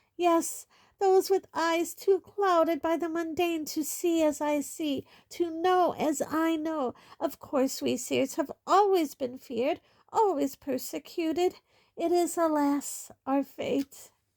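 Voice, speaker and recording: Putting on a character voice at an extremely high pitch, a woman speaks with ordinary pitch variation in a dry, close sound with no echo. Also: fairly slow pace. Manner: dramatic, theatrical, self-pitying.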